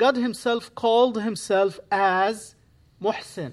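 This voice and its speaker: With an Arabic accent, a man talks at a fairly slow pace in a high pitch with ordinary pitch variation, recorded very cleanly against a silent background. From Egypt. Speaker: imam. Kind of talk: guest sermon. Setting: church. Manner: halting.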